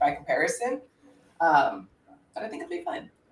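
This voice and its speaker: An American accent from a woman, fairly quick in pace. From United States. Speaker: open-source investigator. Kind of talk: live stream, solving puzzles aloud. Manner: halting, many fillers.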